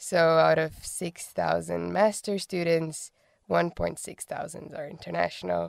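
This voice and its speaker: A Portuguese accent at a fairly slow pace with big swings in loudness. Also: woman. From Brazil. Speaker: bachelor's student. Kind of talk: casual chat.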